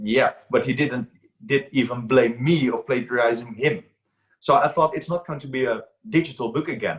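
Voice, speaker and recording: Somewhat breathy and medium in pitch, a man talks at a moderate pace with lively intonation. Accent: Dutch. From Netherlands. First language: Dutch. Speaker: aquarium book author and reef expert. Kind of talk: interview.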